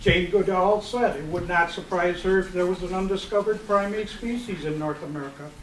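Amid light background noise and audible room echo, a man speaks at a high pitch. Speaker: presenter. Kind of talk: informal talk to audience. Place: hall. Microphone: camera far.

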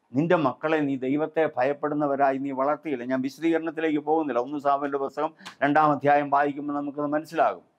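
A man's fairly high voice comes across in a monotone, flat intonation. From Kerala, India. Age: 70s. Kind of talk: religious talk / sermon. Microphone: lapel.

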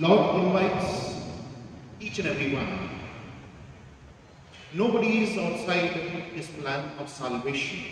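A man at a slow pace and fairly high pitch, lively in intonation, with long, frequent pauses and strong room echo

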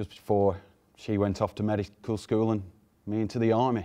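At a moderate pace, the voice carries a dark, mellow tone over a quiet background. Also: man. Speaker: storyteller or actor in monologue. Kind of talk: dramatic monologue, personal story. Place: studio. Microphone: lapel.

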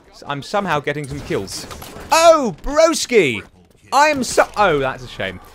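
A man at a fairly slow pace, loudness swinging widely, amid noticeable background noise. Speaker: gaming YouTuber. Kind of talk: live gameplay commentary. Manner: animated.

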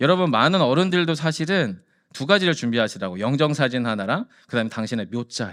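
The voice sounds animated, with very wide pitch swings and a fairly quick pace. The recording is very clean, with a silent background. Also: man. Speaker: pastor. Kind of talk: sermon.

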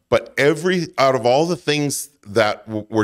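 A man talks with lively intonation against a quiet background. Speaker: podcast guest. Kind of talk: interview answer. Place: studio. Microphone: studio mic.

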